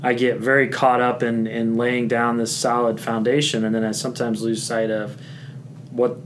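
A man speaks at a moderate pace with fairly even intonation. Audible room echo and noticeable background noise fill the recording. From Indiana. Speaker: high school principal. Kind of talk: casual chat.

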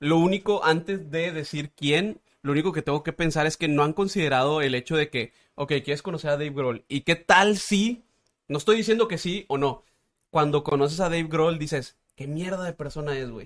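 Here a man uses a normal speaking voice at a fairly high pitch. His pitch variation is ordinary and his pace moderate. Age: 30s. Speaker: radio producer and voice-over artist. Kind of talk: casual chat.

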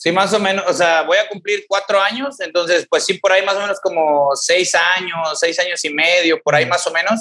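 Using a raised, projected voice, a man with a high pitch keeps very even loudness and ordinary pitch variation. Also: moderate pace. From Mexico, Tamaulipas (rural ejido near Ciudad Victoria). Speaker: CrossFit coach and gym owner. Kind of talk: interview testimony. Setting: remote call.

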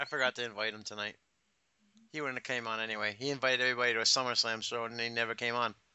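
At a very fast pace, a man with an American accent speaks at medium pitch in a monotone, flat delivery. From United States. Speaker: podcast co-host, movie commentator. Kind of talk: casual chat.

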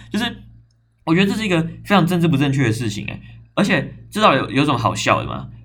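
A man talks at a very fast pace with a fairly high pitch, very wide pitch swings and vocal fry, yet leaves long, frequent pauses. Audible room echo is present. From Taiwan, Zhongli (Taoyuan). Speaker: podcast host. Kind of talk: casual solo talk. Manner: animated.

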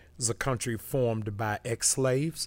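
A man with an American accent and an ordinary speaking voice, at a moderate pace, in a very clean recording with a silent background. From Massachusetts and Baltimore. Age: 50s. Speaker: pastor. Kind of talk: podcast interview. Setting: studio.

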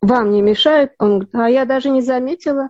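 A woman talks at a fairly quick pace in a high pitch with ordinary pitch variation. Her tone is dark and mellow, and the sound is dry and close with no echo. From Soviet Union. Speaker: actress. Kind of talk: interview.

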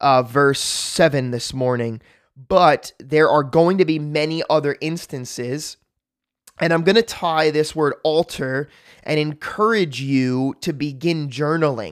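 A man with an ordinary speaking voice and an American accent talks at a fairly high pitch with ordinary pitch variation. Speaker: pastor, daily Bible reading podcast host. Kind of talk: devotional Bible reading and short teaching. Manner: warm, conversational, encouraging.

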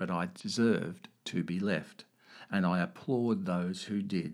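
Fairly low in pitch with ordinary pitch variation, a man talks in an unremarkable speaking voice. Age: 60s. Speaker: podcast host sharing personal story. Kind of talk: personal monologue.

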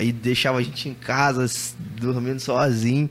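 The speaker is a man. He talks at a moderate pace. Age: 30s. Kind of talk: casual chat. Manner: animated.

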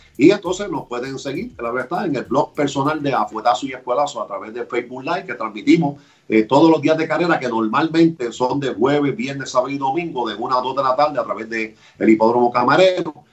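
At a very fast pace, a man with a fairly high pitch talks with ordinary pitch variation. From Puerto Rico, Barranquitas. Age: 50s. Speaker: sports radio host. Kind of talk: casual interview.

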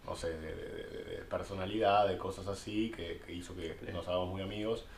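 With a Buenos Aires accent, a man speaks amid audible room echo. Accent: Rioplatense Spanish (Buenos Aires). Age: 20s. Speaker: podcast co-host. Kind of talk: casual chat.

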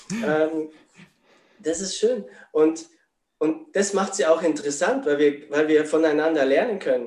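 A man talks at a fairly slow pace with long, frequent pauses. His fairly high voice carries lively intonation. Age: 40s. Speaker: spiritual coach. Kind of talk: interview.

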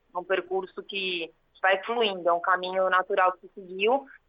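A woman's fairly even intonation pairs with a moderate speaking pace. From São Paulo city, Brazil. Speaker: sports lawyer. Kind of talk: interview.

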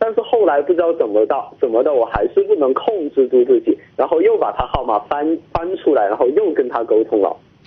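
There is noticeable background noise as a man talks at a fairly quick pace. He hardly pauses at all. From Chongqing. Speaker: university student. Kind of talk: phone-in call. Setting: phone call. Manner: halting.

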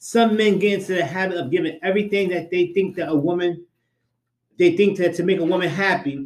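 Animated in tone, a man with a high pitch talks at a fairly quick pace. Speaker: podcast host. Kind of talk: casual banter podcast. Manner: animated, joking.

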